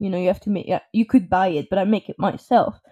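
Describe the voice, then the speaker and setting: In a Parisian accent, a woman speaks with a dark, mellow tone and ordinary pitch variation. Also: dry, close sound with no echo, very clean recording, silent background. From France. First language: French. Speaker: podcast co-host, client services. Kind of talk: casual chat.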